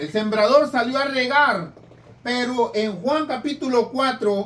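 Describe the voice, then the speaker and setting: Lively intonation with audible room echo. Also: man. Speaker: preacher. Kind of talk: sermon. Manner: stutters when reading; rough, plain speech.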